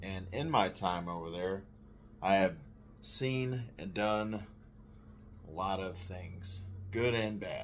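Amid light background noise, a man with an American accent and a very deep, low pitch speaks at a very slow pace with long, frequent pauses. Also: ordinary pitch variation. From Texas. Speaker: navy veteran, video creator. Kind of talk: personal testimony to camera. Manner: halting, with many fillers. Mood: serious, reflective. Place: kitchen.

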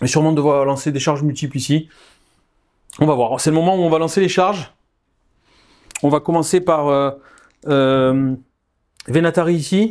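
Speaking at a moderate pace, a man with a fairly high voice keeps his loudness very even and his intonation fairly even. He leaves long, frequent pauses. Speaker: wargame player. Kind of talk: game commentary.

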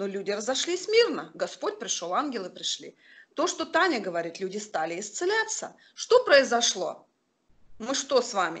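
At a moderate pace, a woman speaks with a high pitch and very wide pitch swings. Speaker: online ministry teacher. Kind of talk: online charismatic class with testimonies. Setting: video call.

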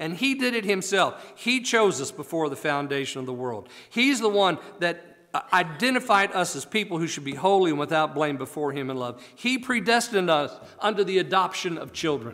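A man with a high voice talks at a fairly quick pace, his pitch swinging very widely. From United States. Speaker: preacher. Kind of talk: sermon. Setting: church. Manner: animated, exclamatory pulpit delivery with rhetorical questions; formal, earnest, teaching cadence. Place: church. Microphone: podium.

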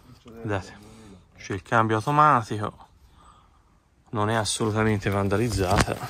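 A man with a fairly low pitch speaks at a moderate pace with long, frequent pauses and fairly even intonation. His tone is bright and sharp, the sound is dry with no echo, and there is light background noise. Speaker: urban explorer vlogger. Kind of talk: walkthrough video commentary. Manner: quiet, speaking low. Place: open country. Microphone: phone near.

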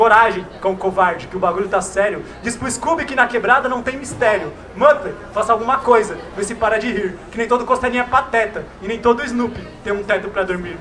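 Raised and projected, a man's high-pitched voice runs at a fairly quick pace with hardly any pauses and ordinary pitch variation over light background noise. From Brazil, São Paulo east side. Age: young. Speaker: slam poet. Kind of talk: spoken word performance. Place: street. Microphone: handheld.

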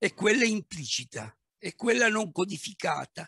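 Against a quiet background with dry sound and no echo, a man speaks at a fairly slow pace. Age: 60s. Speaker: manager and business coach; speaker. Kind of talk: talk on leadership; guided visualization. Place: home room. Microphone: headset.

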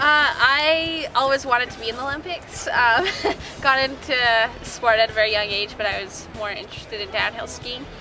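Clear music plays in the background. The speech moves at a moderate pace with ordinary pitch variation. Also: woman. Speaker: interviewee. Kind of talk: interview answer. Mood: cheerful, laughing. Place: street.

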